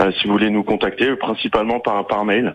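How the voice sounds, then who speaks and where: A man's voice with noticeable background noise. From Sarthe, France. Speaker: environmental educator and association founder. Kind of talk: radio interview. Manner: hesitant, many fillers and repetitions.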